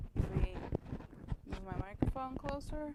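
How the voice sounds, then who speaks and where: A soft-spoken woman, mumbling. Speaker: streamer painting miniatures. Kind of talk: casual livestream chat. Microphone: clip-on mic hanging off shirt, too quiet.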